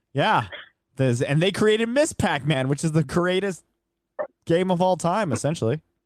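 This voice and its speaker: Speaking at a moderate pace with lively intonation and very even loudness, the voice breaks often into long pauses. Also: man, high pitch for a man. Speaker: radio host. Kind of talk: casual chat. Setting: studio.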